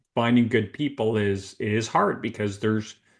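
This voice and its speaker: In a slight Canadian accent, a man speaks at a moderate pace with a fairly low pitch and monotone, flat intonation. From Canada, Toronto area. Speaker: recruitment consultant, business owner. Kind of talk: interview podcast.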